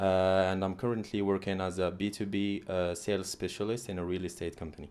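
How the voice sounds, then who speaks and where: The speaker talks at a fairly quick pace. The intonation stays monotone and flat. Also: man, very deep, low pitch for a man. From Algeria, Algiers. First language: not English (English is his third language). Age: 20s. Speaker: international student turned sales specialist. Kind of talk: interview.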